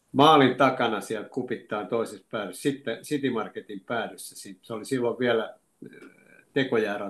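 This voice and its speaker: Medium in pitch, a man talks at a moderate pace. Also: fairly even intonation. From Finland, Lahti (moved from Oulu at seven). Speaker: retired football coach and teacher. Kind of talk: interview, reminiscing. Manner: halting, many fillers.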